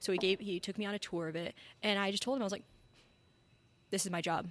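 A woman speaks very fast at medium pitch with fairly even intonation against a quiet background. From New Mexico, Albuquerque. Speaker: head brewer. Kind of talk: casual chat. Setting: brewery in a cinema.

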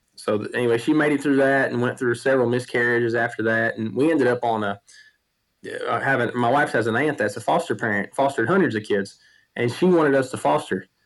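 A man talks at a very fast pace with a Southern US accent. His pitch varies in an ordinary way. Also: medium pitch for a man. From US South, Tennessee. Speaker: medical practitioner and farmer. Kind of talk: casual interview.

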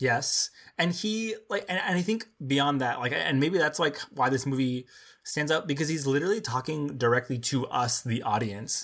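A man with a plain, everyday voice and an American accent, fairly high in pitch, lively in intonation, very even in loudness, at a moderate pace. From Texas border town. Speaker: film podcast co-host. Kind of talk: casual chat.

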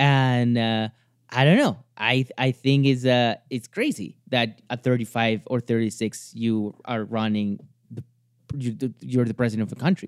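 A man speaks with a Spanish accent at a medium pitch and a fairly slow pace. His intonation is fairly even, and the sound is dry and close with no echo. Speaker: commentator on Latin American news. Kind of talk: casual chat. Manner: halting.

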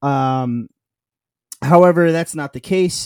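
A man talks at a fairly slow pace in a New York accent with fairly even intonation, in a dry, close sound with no echo. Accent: New York American. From US, New York. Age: 30s. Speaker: football fan podcaster. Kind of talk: casual chat.

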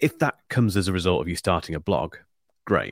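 With a Northamptonshire accent, a man speaks fairly quickly in a very deep, low voice with vocal fry and lively intonation, on a very clean recording with a silent background and a dry, close sound with no echo. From England, Northampton. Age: 40s. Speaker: YouTube tech reviewer. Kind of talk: interview.

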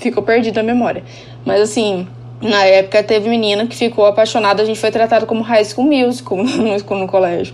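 Over noticeable background noise, a woman speaks at a moderate pace and a medium pitch with lively intonation. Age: 30s. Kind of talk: casual chat.

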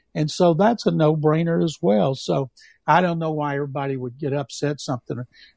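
A man with an unremarkable speaking voice, fairly high pitch and ordinary pitch variation, at a fairly quick pace, in a dry, close sound with no echo. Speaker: veteran sports journalist. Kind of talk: sports talk radio chat. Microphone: dropping connection.

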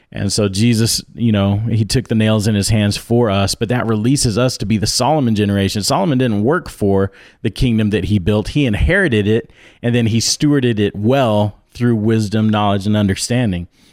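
A man speaks in a plain, everyday voice at a fairly low pitch and a fairly quick pace, with ordinary pitch variation and very even loudness. The recording is very clean, with a silent background. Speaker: conference organizer. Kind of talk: casual chat.

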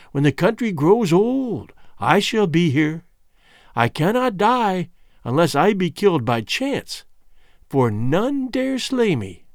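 Putting on a shrill character voice, a man speaks slowly at a high pitch with big pitch swings.

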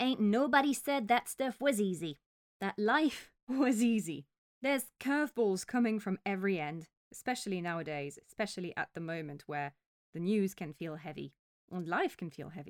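Recorded very cleanly against a silent background, with a dry, close sound and no echo, a woman at medium pitch swings widely in pitch and sharply in loudness. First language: French. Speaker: podcast host and holistic physio. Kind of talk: solo podcast talk; guided meditation. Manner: slow.

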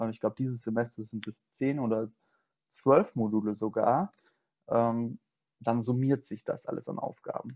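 At a moderate pace, a man speaks at medium pitch with a dark, mellow tone and fairly even intonation. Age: 20s. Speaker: student teacher. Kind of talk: interview.

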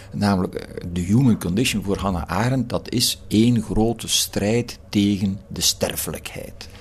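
A man's fairly low voice at a fairly slow pace, with a Flemish accent. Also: fairly even intonation. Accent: Flemish Dutch. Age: old. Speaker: philosophy professor. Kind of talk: reflective interview. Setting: garden house. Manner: hesitant with repetitions.

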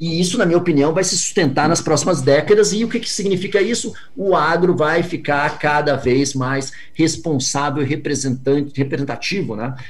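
A man speaks at a moderate pace in a fairly high, somewhat breathy voice with ordinary pitch variation. Audible room echo can be heard. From Brazil. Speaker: venture capital investor. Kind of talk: interview.

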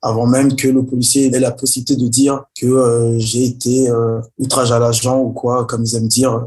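The speaker talks at a moderate pace in a monotone, flat intonation, somewhat breathy, with very even loudness. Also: man, medium pitch for a man. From Paris region, France. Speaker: rapper and artist. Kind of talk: interview. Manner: halting.

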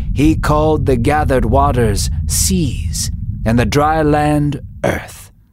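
Over noticeable background noise, a man speaks very slowly in a dramatic tone at a medium pitch, his loudness very even while his pitch swings very widely. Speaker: story narrator. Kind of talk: scripted Bible story narration. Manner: dramatic, measured, storytelling cadence.

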